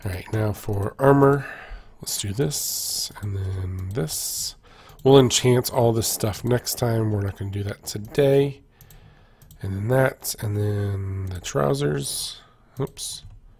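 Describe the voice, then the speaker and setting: Very slowly and somewhat breathily, a man speaks at a fairly low pitch with ordinary pitch variation. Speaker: gaming YouTuber. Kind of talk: casual gameplay commentary. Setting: recorded gameplay voiceover. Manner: casual, enthusiastic, with filler words.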